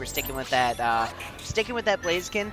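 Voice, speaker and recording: Music plays in the background as the speech rushes along at a very fast pace. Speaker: esports commentator. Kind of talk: live commentary. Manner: animated.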